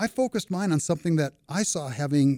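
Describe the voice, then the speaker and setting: A man with an American accent, dark and mellow in tone, lively in intonation, at a moderate pace, in a very clean, dry, close recording with a silent background and no echo. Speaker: retired banker and finance expert. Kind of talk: casual interview conversation. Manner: humorous, chatty.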